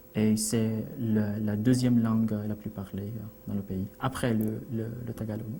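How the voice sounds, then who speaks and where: With a Philippine accent, a man talks at a fairly slow pace and fairly low pitch in a monotone, flat way, over noticeable background noise. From Philippines, Iligan, Mindanao. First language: Cebuano (speaking French). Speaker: immigrant interviewee. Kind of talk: TV interview. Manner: halting, many hesitations.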